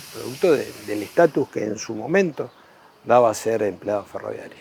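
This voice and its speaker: A man with a Rioplatense accent speaks at a moderate pace and medium pitch. His intonation is lively, and his loudness swings widely. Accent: Argentine Spanish (rioplatense). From Argentina, Laguna Paiva. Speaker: local resident. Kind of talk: interview testimony.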